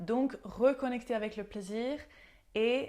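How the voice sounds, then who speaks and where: A fairly high-pitched woman with ordinary pitch variation, on a very clean recording against a silent background. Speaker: nutrition coach and yoga teacher. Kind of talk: health tips video talk. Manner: hesitant, frequent fillers.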